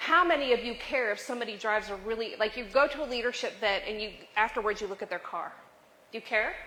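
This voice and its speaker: With lively intonation, a woman's speech moves along at a fairly quick pace. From US Midwest (western Nebraska). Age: 50s. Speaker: leadership speaker. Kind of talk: motivational talk. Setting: cafe with live audience. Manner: animated.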